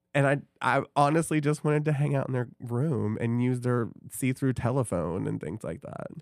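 With an American accent, a man talks at a moderate pace in a plain, everyday voice, with hardly any pauses and a dry, close sound with no echo. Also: medium pitch for a man, ordinary pitch variation. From Iowa, later Tennessee. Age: 40s. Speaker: podcast co-host. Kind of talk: casual chat. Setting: studio.

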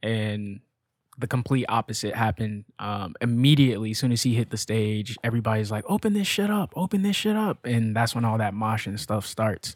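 The man has a normal speaking voice at a medium pitch. He talks fairly quickly, and his pitch varies in an ordinary way. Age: 20s. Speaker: podcast guest, host's brother. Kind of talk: casual chat.

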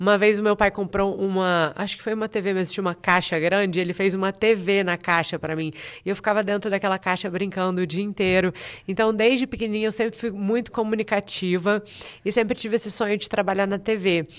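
A woman's very fast delivery with fairly even intonation. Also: medium pitch for a woman. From Brazil, Espírito Santo (Vitória). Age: 30s. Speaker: TV presenter and journalist. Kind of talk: casual interview chat.

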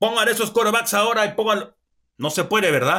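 A high-pitched man with a raised, projected voice speaks in an animated, bright and sharp tone. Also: very clean recording, silent background. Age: 50s. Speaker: sports analyst. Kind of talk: sports analysis show.

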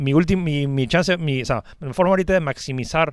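A plain, everyday voice moves at a fairly quick pace. Its pitch variation is ordinary. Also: man. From born outside Peru. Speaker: tech blogger and streamer. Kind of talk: casual chat.

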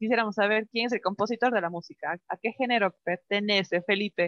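A woman with an ordinary speaking voice, medium pitch, ordinary pitch variation, and a fairly quick pace, in a dry, close sound with no echo. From Ecuador. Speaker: radio co-host. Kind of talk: casual chat.

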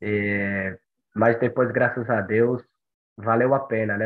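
A man talks at a medium pitch. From Brazil, Bahia (Monte Santo). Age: 20s. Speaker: long-distance runner. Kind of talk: podcast interview.

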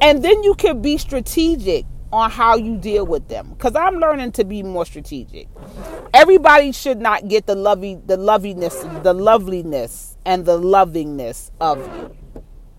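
Over noticeable background noise, a woman speaks at a moderate pace with an American accent. Her loudness swings a lot and her pitch swings very widely. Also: fairly high pitch for a woman. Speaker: podcaster. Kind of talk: unscripted solo rant. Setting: in a car. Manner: casual, rambling, unfiltered.

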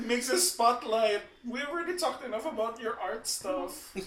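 A man with an extremely high voice speaks at a moderate pace with lively intonation. Noise is noticeable behind him. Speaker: podcast host. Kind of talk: casual chat.

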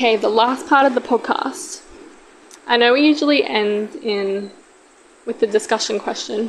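Loud speech with lively intonation comes at a moderate pace, with long, frequent pauses. Noticeable background noise is present. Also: woman, high pitch for a woman. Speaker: podcast host. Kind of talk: casual chat.

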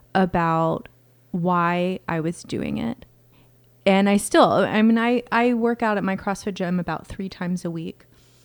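A woman with a plain, everyday voice speaks at a fairly slow pace, her medium pitch showing ordinary variation. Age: 40s. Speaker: inner voice coach and speaker. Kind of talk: casual interview conversation.

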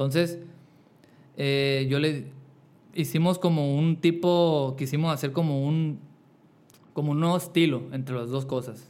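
Delivered at a fairly slow pace with long, frequent pauses, the speech has fairly even intonation. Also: man, fairly high pitch for a man. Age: 20s. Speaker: singer-songwriter and barber. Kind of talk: casual interview.

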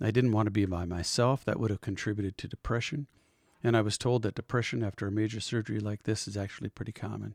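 Very fast speech from a man with a fairly low voice, fairly even intonation, and a dry, close sound with no echo. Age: 50s. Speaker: podcast host, heart surgery patient. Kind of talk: personal testimony. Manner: halting, many fillers.

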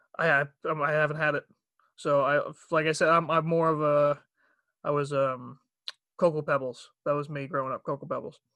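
A man's fairly high, bright, sharp voice in a strong Long Island accent, monotone and flat, at a fairly quick pace with long, frequent pauses. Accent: Long Island accent, heavy. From Long Island, New York. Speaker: aspiring voice actor and bank worker. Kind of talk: casual chat. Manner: halting with many fillers.

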